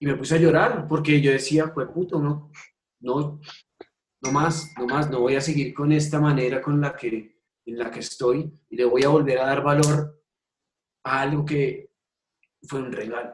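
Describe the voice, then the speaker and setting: A man's fairly high, somewhat breathy voice at a fairly slow pace, with fairly even intonation and long, frequent pauses. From Colombia. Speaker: ultimate frisbee coach and PE teacher. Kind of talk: interview.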